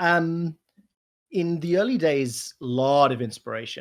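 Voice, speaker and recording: A man talks with a South African accent. His pitch variation is ordinary. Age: 30s. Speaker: esports commentator. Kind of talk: casual chat. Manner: animated.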